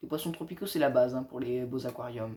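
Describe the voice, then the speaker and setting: A man's voice with ordinary pitch variation. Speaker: gaming tutorial youtuber. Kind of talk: tutorial. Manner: fast.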